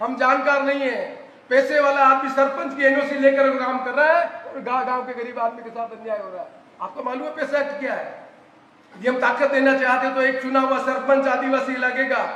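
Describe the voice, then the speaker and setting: Amid noticeable background noise and audible room echo, a man speaks in a raised, projected voice at an extremely high pitch, monotone and flat, at a moderate pace. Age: 70s. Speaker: politician. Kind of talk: political rally speech.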